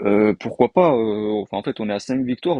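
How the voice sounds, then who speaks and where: A man speaks with a dark, mellow tone. The sound is dry and close with no echo, over a quiet background. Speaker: gaming YouTuber. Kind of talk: casual gameplay commentary. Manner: fast; hesitant, many fillers.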